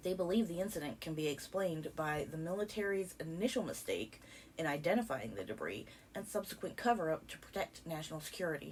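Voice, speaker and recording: A woman's fairly low voice with vocal fry, a very fast pace and lively intonation. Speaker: documentary narrator. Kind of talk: scripted narration.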